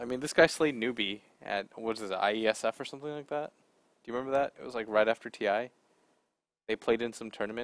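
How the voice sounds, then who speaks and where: Soft-spoken yet very fast, a man talks with long, frequent pauses and big swings in loudness, the sound dry and close with no echo. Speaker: esports commentator. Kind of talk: live commentary. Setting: studio.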